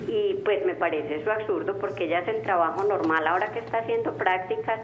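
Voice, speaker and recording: A woman speaks at a very fast pace with very even loudness. Audible room echo and noticeable background noise come through. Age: 40s. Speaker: caller. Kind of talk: call-in conversation. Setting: phone call.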